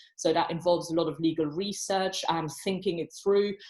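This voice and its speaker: A woman speaks at medium pitch with a slight non-native accent. Her intonation is fairly even and her pace fairly quick. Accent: slight foreign. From abroad, non-Commonwealth country. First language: not English. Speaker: barrister. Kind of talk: panel talk at online professional event.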